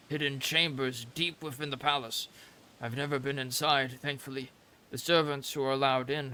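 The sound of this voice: Someone reads in an unforced voice. The intonation is fairly even.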